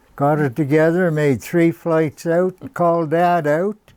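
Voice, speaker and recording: A man with a rural Canadian accent and a fairly high pitch speaks at a very slow pace with ordinary pitch variation, in a dry, close sound with no echo. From Madawaska, eastern Ontario, Canada. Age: 80s+. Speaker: model aircraft builder. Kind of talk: casual storytelling interview.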